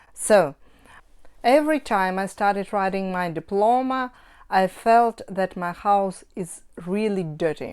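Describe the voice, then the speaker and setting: In a Russian accent, a woman speaks at a fairly slow pace. Her pitch is medium, with ordinary variation. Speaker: cross-stitch hobbyist vlogger. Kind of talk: casual vlog talk. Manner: halting, with self-corrections.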